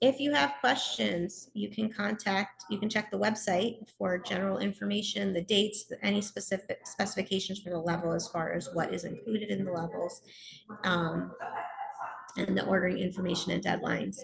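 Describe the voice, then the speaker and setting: Noticeable background noise runs under the clip. A woman talks over it at a moderate pace. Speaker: contest support coordinator. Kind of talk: webinar presentation. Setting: at a conference, video call.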